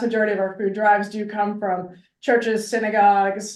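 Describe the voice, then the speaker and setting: Fairly quick speech from a woman in a space with audible room echo. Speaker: nonprofit food pantry staff. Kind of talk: interview. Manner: fast.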